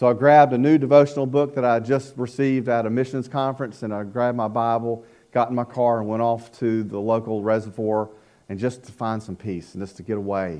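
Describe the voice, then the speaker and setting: A man with a North Carolina accent and fairly even intonation. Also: medium pitch for a man, fairly quick pace, big swings in loudness. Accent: Southern US (North Carolina). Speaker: pastor, former youth minister. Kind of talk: sermon. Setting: church.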